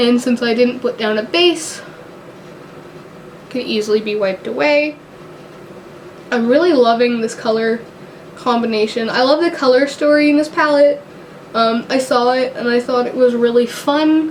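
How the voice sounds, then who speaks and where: A woman speaks in a high voice at a moderate pace. Her pitch varies in an ordinary way, with noticeable background noise. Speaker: beauty YouTuber. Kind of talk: casual talk to camera.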